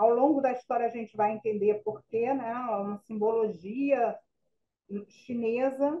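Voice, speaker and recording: In a normal speaking voice, a woman talks fairly slowly at a fairly high pitch. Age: 60s. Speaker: spiritist author and youth educator. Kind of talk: radio interview.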